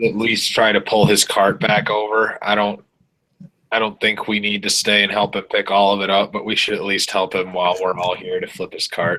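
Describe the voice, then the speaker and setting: A man puts on a raspy character voice, pitched fairly low and delivered at a moderate pace. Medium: actual play. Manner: blunt, matter-of-fact.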